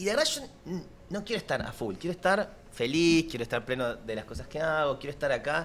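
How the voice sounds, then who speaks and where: Over light background noise, a man's voice makes very wide pitch swings. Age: 40s. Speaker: life coach; guest coach. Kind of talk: casual chat. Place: studio. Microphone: studio mic.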